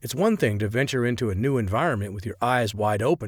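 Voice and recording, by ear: In a natural voice, someone reads aloud, the pitch rising and falling in an ordinary way.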